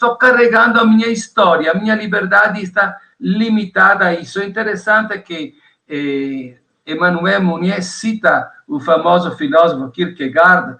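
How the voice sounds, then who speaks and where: A man projects a raised voice at a high pitch, his tone bright and sharp. His intonation is lively and his pace fairly slow. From Italy. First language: Italian (speaking Portuguese). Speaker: theology professor. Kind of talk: interview.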